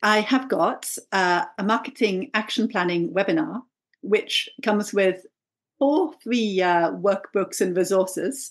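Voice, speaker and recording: A woman with a plain, everyday voice, fairly high in pitch, lively in intonation, very even in loudness and fairly slow, against a quiet background. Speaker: brand strategy coach. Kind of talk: casual interview chat.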